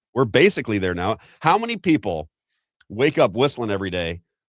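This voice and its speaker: A man's medium-pitched, animated voice with an American accent at a fairly quick pace, in a dry, close sound with no echo and a very clean recording with a silent background. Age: 50s. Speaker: political commentator. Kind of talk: live political talk show.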